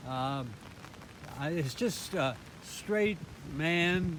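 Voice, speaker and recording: A man with an American accent and a fairly high pitch speaks at a very slow pace with ordinary pitch variation, with noticeable background noise. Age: 80s+. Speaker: sculptor, former priest. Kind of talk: casual tour talk to camera. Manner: hesitant, slow with many fillers.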